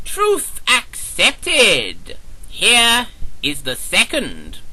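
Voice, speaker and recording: A put-on character voice speaks at a very slow pace. Light background noise sits underneath. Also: man. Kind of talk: audio drama.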